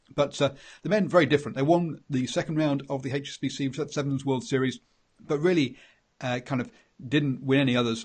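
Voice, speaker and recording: A somewhat breathy voice with an English accent at a fairly quick pace, over a quiet background. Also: man, fairly high pitch for a man, ordinary pitch variation. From England. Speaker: rugby podcast host. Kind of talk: casual chat. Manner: halting.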